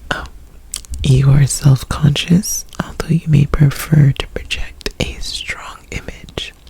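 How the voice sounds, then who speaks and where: A very slow whisper is heard with noticeable background noise around it. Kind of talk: ASMR reading and rambling. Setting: close to the microphone. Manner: whispered, soft-spoken.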